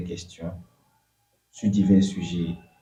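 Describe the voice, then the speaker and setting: A man is speaking. His pace is fairly slow. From southern Benin. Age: 20s. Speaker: entrepreneur. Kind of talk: interview. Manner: halting, with fillers.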